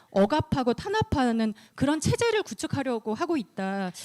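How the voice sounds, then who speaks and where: A woman speaks at a high pitch, the sound dry and close with no echo. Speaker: lawyer presenting at a human rights conference. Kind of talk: conference presentation. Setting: conference room, livestreamed. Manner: fast.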